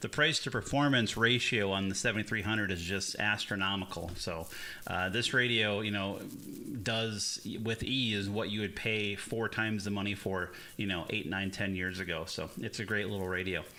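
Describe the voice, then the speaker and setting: At a moderate pace, a man talks with a fairly low pitch, fairly even intonation, and a bright, sharp tone. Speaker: ham radio operator, streamer. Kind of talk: live radio contact chat. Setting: radio shack live stream.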